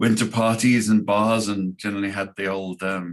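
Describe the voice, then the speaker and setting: At a fairly slow pace, a man with a Scouse accent speaks at a fairly low pitch in monotone, flat intonation. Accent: faint Scouse. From Liverpool, England. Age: 60s. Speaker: foreign affairs commentator. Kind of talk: casual interview. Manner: halting.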